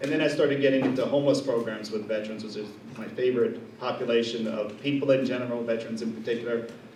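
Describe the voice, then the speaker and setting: A man of medium pitch with a New Jersey accent speaks at a very fast pace with ordinary pitch variation, with audible room echo and noticeable background noise. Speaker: veterans health administrator, social worker. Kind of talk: presentation at community meeting.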